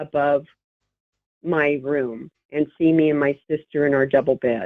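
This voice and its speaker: A woman speaks in a very deep, low voice. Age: 60s. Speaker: caller. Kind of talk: phone-in call. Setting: phone call. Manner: halting.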